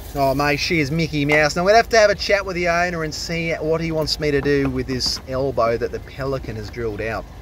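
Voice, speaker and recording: A man with an Australian accent at a fairly quick pace, hardly any pauses, ordinary pitch variation, a dry sound with no echo and light background noise. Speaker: drain cleaner. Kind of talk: casual vlog narration. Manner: animated. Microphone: camera far.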